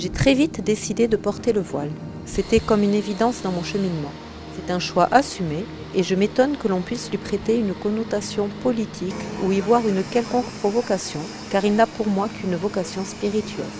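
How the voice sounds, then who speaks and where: A woman speaks at a medium pitch with ordinary pitch variation. Music plays in the background. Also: fairly quick pace. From France. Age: 40s. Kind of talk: testimony. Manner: formal.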